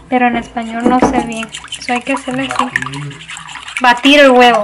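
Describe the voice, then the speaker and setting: A woman with a high voice speaks at a moderate pace in a monotone, flat intonation. Noticeable background noise runs underneath. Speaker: vlogger. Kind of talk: casual cooking vlog, code-switching Spanish and English. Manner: halting, searching for words in Spanish.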